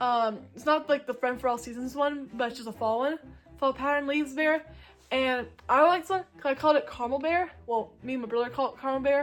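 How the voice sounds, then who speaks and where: Her voice pitched high, a woman speaks at a fairly quick pace with ordinary pitch variation. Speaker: YouTuber. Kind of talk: casual show-and-tell vlog. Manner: fast; animated.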